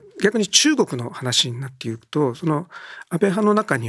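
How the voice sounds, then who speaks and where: A man with a normal speaking voice, fairly high pitch and lively intonation at a moderate pace, in a dry, close sound with no echo on a very clean recording with a silent background. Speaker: newspaper political journalist. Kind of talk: political discussion.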